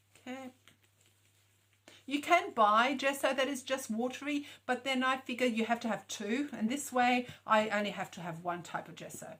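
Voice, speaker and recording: With a bright, sharp tone and high pitch, a woman speaks with ordinary pitch variation and big swings in loudness. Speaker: craft tutor. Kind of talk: tutorial. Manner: fast.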